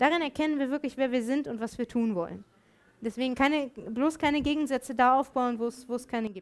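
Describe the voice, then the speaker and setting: A woman talks at a fairly quick pace with a high pitch. Her pitch variation is ordinary. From Germany. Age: 30s. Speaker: theologian and lecturer. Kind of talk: lecture.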